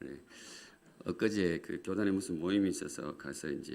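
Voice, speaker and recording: Here is a man with a very deep, low pitch. His pitch varies in an ordinary way. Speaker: guest pastor. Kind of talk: sermon. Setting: church.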